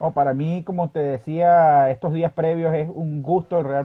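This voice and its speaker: With an unremarkable speaking voice, a man talks at a moderate pace and fairly high pitch, his intonation fairly even. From Venezuela, Barquisimeto (Lara). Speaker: sports journalist. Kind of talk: interview.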